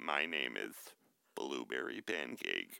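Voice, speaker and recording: Putting on a character voice, a man talks at a fairly slow pace in a very deep, low pitch. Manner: deadpan.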